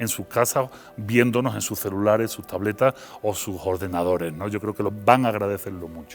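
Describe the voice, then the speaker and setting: A man speaks with an Andalusian accent. His pace is fairly quick and his intonation fairly even. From Seville, Andalusia, Spain. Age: 40s. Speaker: philosopher and university lecturer. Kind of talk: interview.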